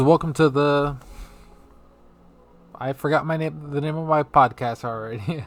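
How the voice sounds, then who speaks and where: A man with a fairly high voice, moderate pace and long, frequent pauses, music playing behind him. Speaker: podcast host. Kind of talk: casual solo podcast rant. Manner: lively; casual, filler-heavy.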